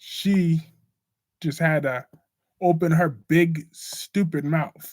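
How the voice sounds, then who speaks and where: Speaking very slowly with an American accent, the voice keeps a fairly even intonation. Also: man, fairly high pitch for a man. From US South. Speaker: live stream host discussing soap operas. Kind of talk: casual live stream chat. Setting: live stream.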